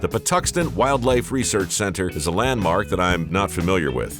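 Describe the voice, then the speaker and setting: Music plays behind a man whose very deep, low voice swings very widely in pitch at a fairly quick pace. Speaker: television host. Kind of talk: documentary narration.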